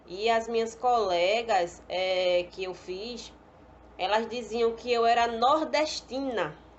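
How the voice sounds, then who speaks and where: A woman speaks very slowly at a fairly high pitch, with ordinary pitch variation. Audible echo fills the room. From Pernambuco, northeast Brazil. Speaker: pedagogy student. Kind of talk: personal testimony.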